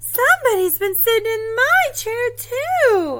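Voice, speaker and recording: A female-sounding put-on character voice squeaks at an extremely high pitch. The pace is fairly slow. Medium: read story.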